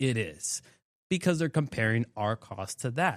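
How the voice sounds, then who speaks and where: An ordinary speaking voice from a man with an American accent, medium in pitch, with lively intonation at a fairly slow pace, captured in a very clean recording with a silent background and a dry, close sound with no echo. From southwest Florida, Bonita Springs. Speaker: general contractor, tiny home builder. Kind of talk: casual interview chat.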